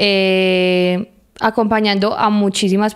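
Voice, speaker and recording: Her intonation fairly even, a woman speaks against a quiet background. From Colombia, Medellín. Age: 20s. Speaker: municipal culture coordinator; interview guest. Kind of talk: casual interview. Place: studio. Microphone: handheld.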